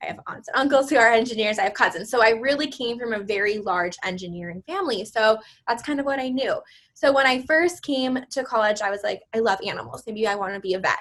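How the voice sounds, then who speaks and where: A very fast pace and lively intonation in an American accent. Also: woman, fairly high pitch for a woman. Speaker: graduate teaching assistant. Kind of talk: interview.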